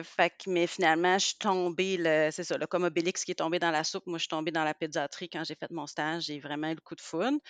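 A woman with a Quebec accent at a fairly low pitch and a fairly quick pace, in a dry, close sound with no echo and a quiet background. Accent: Québécois French. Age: 40s. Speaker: pediatrician. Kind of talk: casual interview.

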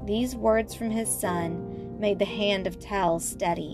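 An unforced reading voice comes through with ordinary pitch variation.

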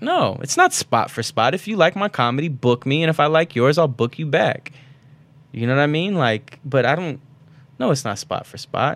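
A man with a fairly high pitch speaks at a moderate pace with lively intonation, in an unremarkable speaking voice. The recording is very clean, with a silent background. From Baku, Azerbaijan; raised in Florida. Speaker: comedian. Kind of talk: casual chat.

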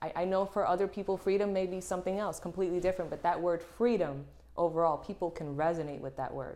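A woman with a Puerto Rican accent talks at a fairly quick pace, her pitch varying in an ordinary way. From Puerto Rico. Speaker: fashion model. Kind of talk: casual interview chat.

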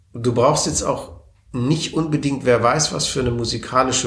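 The voice carries vocal fry and ordinary pitch variation. It moves at a fairly slow pace. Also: man. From southwestern Germany, Baden (Wertheim, then Konstanz). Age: 40s. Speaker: member of parliament. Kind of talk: interview. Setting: office in parliament building.

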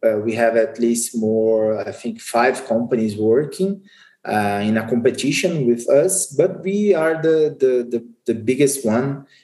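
Speaking at a very slow pace, a man with a Portuguese accent uses a medium pitch, a dark, mellow tone, and lively intonation. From Brazil. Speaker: insurance market executive. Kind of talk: interview. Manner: halting.

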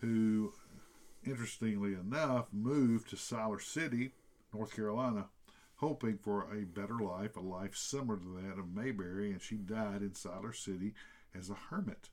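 With a Tennessee accent, a man talks at a moderate pace in a fairly low pitch with ordinary pitch variation. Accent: Southern American (Tennessee). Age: 50s. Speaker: podcast co-host. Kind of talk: casual chat.

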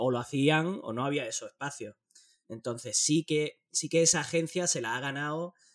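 An ordinary speaking voice from a man at a moderate pace, with ordinary pitch variation. The sound is dry and close, with no echo. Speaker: board game podcaster living abroad. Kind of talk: casual chat.

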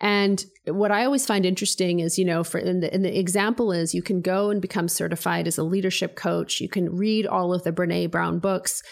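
A woman with a Canadian accent, an ordinary speaking voice at medium pitch, fairly even intonation, very even loudness and a fairly quick pace. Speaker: business coach and founder. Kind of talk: casual interview chat.

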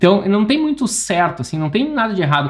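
A man is speaking. His pitch is high. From interior of Rio Grande do Sul, Brazil. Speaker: architect and podcast host. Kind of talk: solo educational podcast monologue. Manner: informal, frequent fillers and restarts.

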